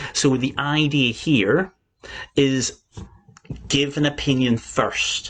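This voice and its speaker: Here a man talks at a very slow pace, with long, frequent pauses. His pitch is fairly high and his intonation fairly even. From Northern Ireland. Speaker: English exam teacher. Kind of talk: live-stream lesson. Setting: live stream from laptop. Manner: clear, careful pronunciation.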